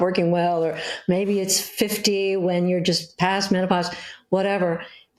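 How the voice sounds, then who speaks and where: Speaking at a fairly slow pace with an American accent, a woman at medium pitch is heard with audible room echo. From US West Coast, Hollywood. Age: 70s. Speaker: cookbook author. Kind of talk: interview.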